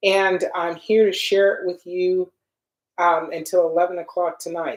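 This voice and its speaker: Speaking at a moderate pace, this is an ordinary speaking voice. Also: woman. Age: 60s. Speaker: skincare product maker and livestream host. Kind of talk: live Q&A livestream. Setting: livestream on social media.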